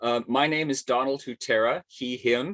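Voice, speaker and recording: A man with medium pitch speaks at a fairly slow pace in an unremarkable speaking voice. The sound is dry and close with no echo, over a quiet background. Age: 60s. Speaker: arts journalist and webinar host. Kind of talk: webinar hosting. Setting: video call from home attic.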